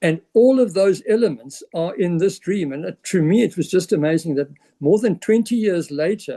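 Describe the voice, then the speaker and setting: Talking at a moderate pace, a man with a high pitch and dark, mellow tone uses ordinary pitch variation. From South Africa. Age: 70s. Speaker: business presenter. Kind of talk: sales pitch. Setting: presentation to an audience.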